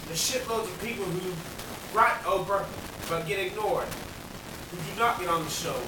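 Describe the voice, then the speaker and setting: A man speaks at a fairly quick pace in a raised, projected voice with ordinary pitch variation. There is noticeable background noise and audible room echo. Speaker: amateur rapper vlogger. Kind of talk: angry rant monologue. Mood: angry and frustrated. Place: home room. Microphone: camera far.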